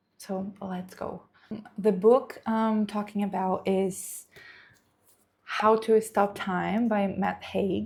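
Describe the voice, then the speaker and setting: Speaking very slowly in a Brazilian Portuguese accent, a woman sounds somewhat breathy, with monotone, flat intonation. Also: medium pitch for a woman. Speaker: book content creator. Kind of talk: book review vlog. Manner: hesitant, with fillers.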